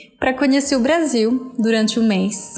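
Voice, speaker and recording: A woman's fairly slow speech, with ordinary pitch variation, is heard amid noticeable background noise and audible room echo. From Venezuela. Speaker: language teacher. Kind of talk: personal testimony.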